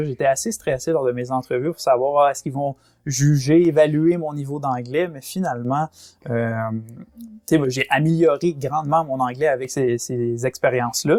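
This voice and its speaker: A fairly high-pitched man with a Quebec accent, moderate pace and ordinary pitch variation, on a very clean recording with a silent background. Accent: Québécois French. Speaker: former theme park worker and travel agent. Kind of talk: podcast interview. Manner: hesitant, many fillers.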